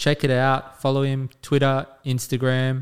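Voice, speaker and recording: Moderate pace with an Australian accent, on a very clean recording with a silent background. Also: man. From Western Sydney, Australia. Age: 30s. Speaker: podcast co-host. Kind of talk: casual chat.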